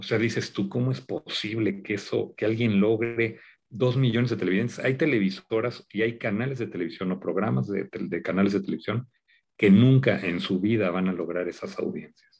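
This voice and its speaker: At a moderate pace, a man with a fairly low pitch and vocal fry speaks with lively intonation. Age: 50s. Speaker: media executive and TV producer. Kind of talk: interview conversation.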